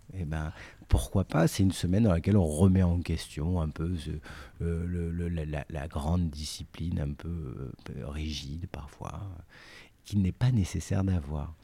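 A man with a very deep, low pitch and a dark, mellow tone speaks somewhat breathily at a fairly slow pace, his intonation fairly even, in a very clean recording with a silent background. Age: 40s. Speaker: artistic director and editor of a cooking company. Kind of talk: interview. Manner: halting, many repetitions and fillers.

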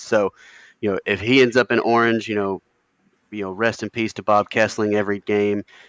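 A man talks in a flat monotone. His pitch is fairly low. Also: dry, close sound with no echo. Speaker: podcast co-host. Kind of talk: casual chat.

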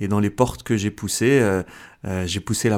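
Heard on a very clean recording with a silent background, a man with a fairly low pitch speaks in fairly even intonation. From France, Algerian parents. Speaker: comedian and convert giving testimony. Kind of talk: testimony. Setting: radio studio. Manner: halting, many repetitions.

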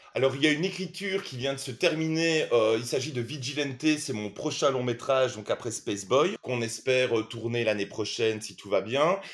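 This man has a plain, everyday voice, medium in pitch with ordinary pitch variation, moving at a moderate pace with hardly any pauses. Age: 40s. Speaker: film director and screenwriter. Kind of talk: interview.

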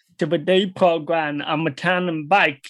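Speaking in a Canadian accent at a moderate pace, the voice comes through on a very clean recording with a silent background. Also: man. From British Columbia, Canada. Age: 30s. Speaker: panelist with blindness and hearing impairment. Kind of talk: panel discussion. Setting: convention panel.

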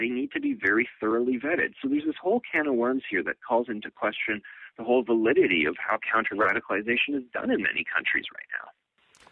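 With hardly any pauses, a man talks at a very fast pace. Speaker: newspaper columnist. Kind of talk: radio interview.

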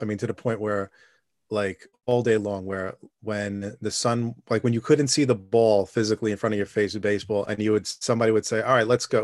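Monotone, flat delivery in a New York accent at a fairly quick pace, dry and close with no echo. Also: man. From New York City (Staten Island). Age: 40s. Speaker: podcast guest. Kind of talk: casual interview. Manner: halting.

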